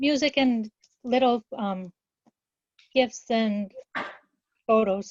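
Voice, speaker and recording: Speaking at a very slow pace with long, frequent pauses, a woman uses a fairly high, somewhat breathy voice in a dry, close sound with no echo. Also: ordinary pitch variation. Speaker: team member. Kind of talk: team video call. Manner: halting.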